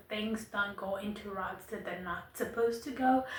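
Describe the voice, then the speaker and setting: A woman with a non-native accent speaks at a fairly high pitch with fairly even intonation. Audible room echo and noticeable background noise fill the recording. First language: not English. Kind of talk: monologue to camera. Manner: casual, conversational.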